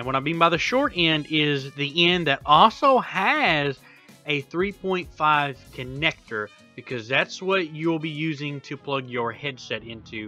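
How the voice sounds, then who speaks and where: The speaker talks fairly slowly while music runs in the background. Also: man. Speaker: gaming streamer. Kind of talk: tech tutorial voice-over. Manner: monotone at times.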